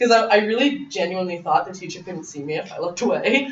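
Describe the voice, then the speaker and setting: A woman with a Canadian accent speaks at medium pitch with very wide pitch swings, amid noticeable background noise and audible room echo. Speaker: abuse survivor and guest speaker. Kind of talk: personal testimony to a class. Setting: college classroom. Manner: loud.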